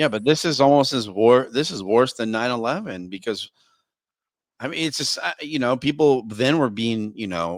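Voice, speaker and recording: A man speaks at a moderate pace in a medium pitch with lively intonation, in a plain, everyday voice. The recording is very clean, with a silent background. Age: 40s. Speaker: podcast host. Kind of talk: interview conversation.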